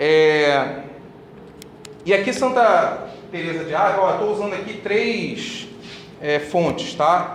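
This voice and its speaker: Noticeable background noise and an audible room echo surround a man as he speaks. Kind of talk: religious talk to a group.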